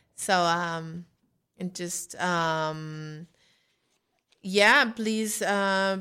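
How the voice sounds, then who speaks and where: The woman has a bright, sharp tone, a medium pitch and fairly even intonation. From Mexico, Mexico City. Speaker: singer-songwriter. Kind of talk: casual chat. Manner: halting.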